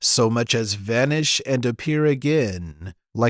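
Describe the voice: Plain read-aloud speech with a quiet background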